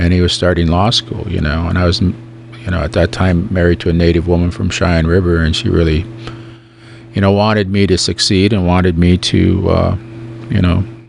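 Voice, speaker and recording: Noticeable background noise sits behind a man with a very deep, low pitch. He keeps a moderate pace and fairly even intonation. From Standing Rock, North/South Dakota (Lakota). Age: 60s. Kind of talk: radio interview. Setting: radio studio. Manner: conversational, many fillers.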